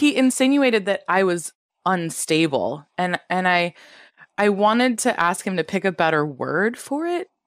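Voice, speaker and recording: A woman's pitch sits in the medium range as she talks at a moderate pace, using a normal speaking voice with lively intonation. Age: 30s. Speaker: veterinary specialist. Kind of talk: casual chat. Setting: remote call.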